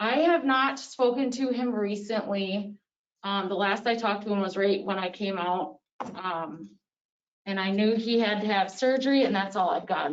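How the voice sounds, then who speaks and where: A woman talks at a moderate pace. She has an ordinary speaking voice. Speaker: police officer. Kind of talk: public meeting remarks. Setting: town board meeting.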